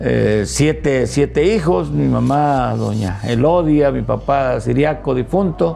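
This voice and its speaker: Barely pausing yet speaking at a very slow pace, a man is heard with audible room echo and noticeable background noise. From Mexico, Veracruz (near Poza Rica). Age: 60s. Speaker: retired teacher and politician. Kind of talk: interview. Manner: halting, many fillers.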